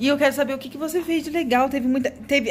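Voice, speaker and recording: The speaker sounds animated, with light background noise behind. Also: woman. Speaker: family vlogger, mother; family vlogger. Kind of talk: casual vlog talk to camera. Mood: warm, playful. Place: home room. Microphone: phone near.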